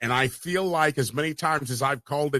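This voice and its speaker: A loud, animated man with a fairly high pitch and a bright, sharp tone, dry and close with no echo. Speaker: sports podcast host. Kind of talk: casual sports talk show chat.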